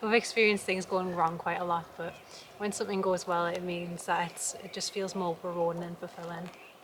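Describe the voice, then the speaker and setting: A woman's fairly low, monotone, flat voice with a Geordie accent over noticeable background noise. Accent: Geordie, slowed down for camera. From northern England, Newcastle area. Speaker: homesteader vlogger. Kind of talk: casual vlog chat. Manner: careful articulation on camera.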